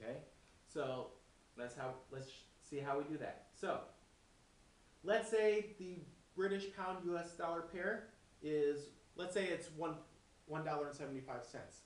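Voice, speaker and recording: A man's high pitch with ordinary variation, at a fairly slow pace with long, frequent pauses, over audible room echo and noticeable background noise. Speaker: forex trading instructor. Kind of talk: tutorial.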